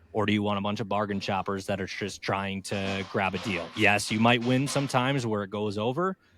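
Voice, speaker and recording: A man talks at a fairly quick pace with hardly any pauses. His intonation is fairly even, with music in the background. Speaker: podcast host. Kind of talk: casual chat.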